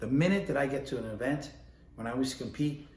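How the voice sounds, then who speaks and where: Speaking at a fairly quick pace with a New York accent, a man uses a medium pitch and ordinary pitch variation, with audible room echo and noticeable background noise. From New York, the Bronx. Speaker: ballroom dance instructor and competitor. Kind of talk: casual instructional talk. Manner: conversational, with many fillers.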